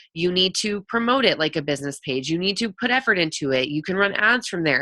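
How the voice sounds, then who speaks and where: A woman's bright, sharp, animated voice at a fairly quick pace with lively intonation. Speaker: network marketing coach. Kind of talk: live webinar Q&A. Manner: fast.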